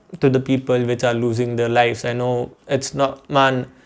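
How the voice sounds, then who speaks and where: A man speaks at a medium pitch with an Indian accent. His pace is moderate and his intonation is monotone and flat. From Jammu, India. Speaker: YouTuber. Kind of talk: casual vlog monologue. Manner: halting, repetitive.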